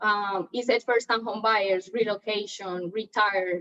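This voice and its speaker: A woman with a Colombian accent speaks at a moderate pace. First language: Spanish. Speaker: real estate agent. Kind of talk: training talk.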